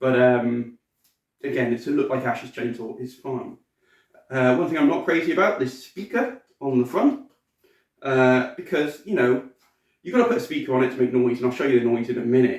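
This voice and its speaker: Speaking with a British accent, a man keeps a moderate pace. He leaves long, frequent pauses. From Britain. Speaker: cosplayer and collectibles reviewer. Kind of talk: product review. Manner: casual, hesitant with fillers.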